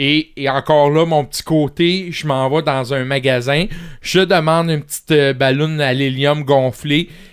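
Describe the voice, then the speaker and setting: A man's fairly high voice in a Quebec accent, with fairly even intonation. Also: fairly slow pace. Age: 40s. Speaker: home care health worker. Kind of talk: casual interview. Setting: studio.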